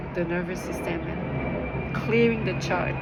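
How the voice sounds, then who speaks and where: Noticeable background noise behind a woman's voice. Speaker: ASMR wellness channel host. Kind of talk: ASMR sleep guidance, whispered self-healing talk. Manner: whispered, gentle, soothing.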